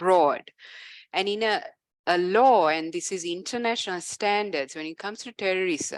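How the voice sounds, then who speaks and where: An unremarkable speaking voice moves at a moderate pace with ordinary pitch variation, captured on a very clean recording with a silent background and a dry, close sound with no echo. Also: woman. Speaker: legal expert presenting on a law. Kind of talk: panel presentation with slides.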